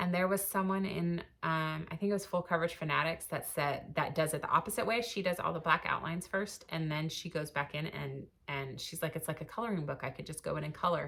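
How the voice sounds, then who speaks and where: A woman's fairly low, fast-running voice with vocal fry, a very fast pace and hardly any pauses. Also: ordinary pitch variation. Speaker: cross stitch vlogger. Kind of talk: casual chat. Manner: hesitant fillers.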